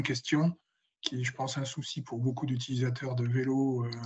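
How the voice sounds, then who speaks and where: In a somewhat breathy, medium-pitched voice, a man talks at a moderate pace with monotone, flat intonation. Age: 70s. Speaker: citizen, municipal mobility committee member. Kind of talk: audience question. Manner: halting, many hesitations.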